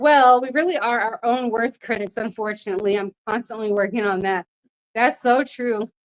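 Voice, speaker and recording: A woman at a fairly high pitch, moderate in pace, with ordinary pitch variation. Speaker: lifestyle livestreamer. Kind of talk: casual livestream chat. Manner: loud.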